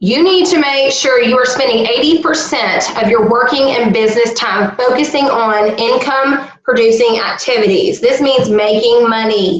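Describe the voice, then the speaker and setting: With a Southern US accent, a woman speaks at a fairly slow pace in a high pitch with lively intonation, and audible room echo is present. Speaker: direct sales team leader. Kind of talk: online team training. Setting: video call. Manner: casual, conversational.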